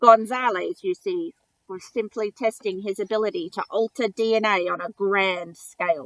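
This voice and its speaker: A woman uses a croaky, put-on character voice with ordinary pitch variation. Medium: read story. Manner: formal, precise.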